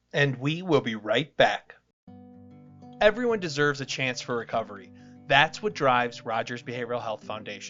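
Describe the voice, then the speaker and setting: Music plays in the background. The talking proceeds at a moderate speed. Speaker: podcast host. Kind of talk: podcast sponsor read.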